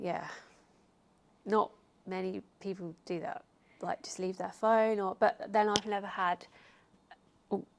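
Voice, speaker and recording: Soft-spoken, a woman of medium pitch talks at a fairly slow pace with fairly even intonation. She leaves long, frequent pauses, and her loudness swings widely. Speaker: fitness YouTuber. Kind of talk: casual chat.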